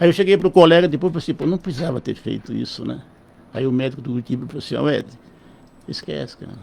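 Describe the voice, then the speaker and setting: A man's fairly high voice with vocal fry, ordinary pitch variation, big swings in loudness, a very fast pace and long, frequent pauses. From São Paulo state, Brazil. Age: 70s. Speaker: physician. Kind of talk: radio interview.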